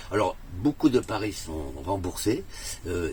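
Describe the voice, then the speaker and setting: Very deep, low male speech amid noticeable background noise. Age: 60s. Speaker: customer testimonial, theatre owner. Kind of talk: testimony. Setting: in a camper van. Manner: hesitant, many fillers.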